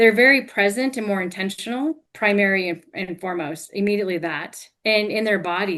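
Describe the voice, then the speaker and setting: A woman speaks in an unremarkable speaking voice with an American accent. Her pitch is medium with ordinary pitch variation, and her pace is fairly quick. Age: 50s. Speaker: hypnotherapist and life coach. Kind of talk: interview.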